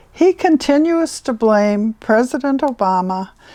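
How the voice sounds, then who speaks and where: A woman with an American accent, high-pitched, very slow and with lively intonation. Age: 80s+. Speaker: grandmother reading her letter. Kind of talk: reading aloud.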